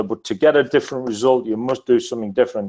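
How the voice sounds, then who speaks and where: Over a quiet background, a man speaks at a very fast pace. His pitch sits in the medium range. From northeast England. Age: 40s. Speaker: business testimonial guest. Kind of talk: testimony. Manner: halting.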